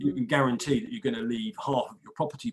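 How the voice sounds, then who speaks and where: With an English accent, a man speaks at a very fast pace and medium pitch, his pitch swinging very widely. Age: 60s. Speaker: equity release adviser. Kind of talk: interview. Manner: repetitive stammering starts.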